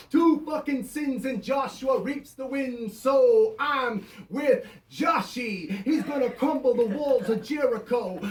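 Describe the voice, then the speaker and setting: At an extremely high pitch, a man speaks at a fairly slow pace with ordinary pitch variation over noticeable background noise. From Canada. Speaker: performance poet. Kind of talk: spoken word poetry performance.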